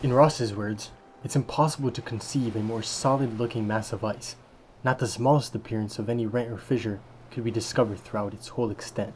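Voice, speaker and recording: He has a medium pitch and an unremarkable speaking voice. The man's intonation is fairly even. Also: fairly quick pace. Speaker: voice actor. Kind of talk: documentary narration.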